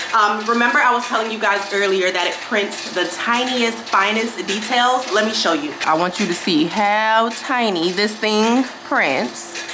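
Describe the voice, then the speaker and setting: With audible room echo and noticeable background noise, a woman with a fairly high voice talks in an animated tone, with ordinary pitch variation and hardly any pauses. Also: fairly slow pace. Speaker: small business owner and product reviewer. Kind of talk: product review vlog. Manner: loud.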